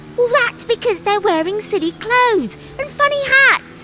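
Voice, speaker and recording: A woman uses a put-on character voice pitched extremely high. She speaks at a moderate pace over loud background noise. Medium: read story. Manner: excited.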